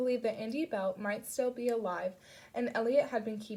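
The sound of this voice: An unforced reading voice shows ordinary pitch variation.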